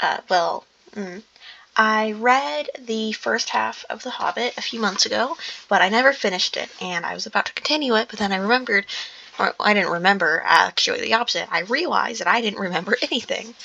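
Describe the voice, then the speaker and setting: The speech comes at a fairly quick pace over noticeable background noise. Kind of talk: casual talk to listeners. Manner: halting, stumbling.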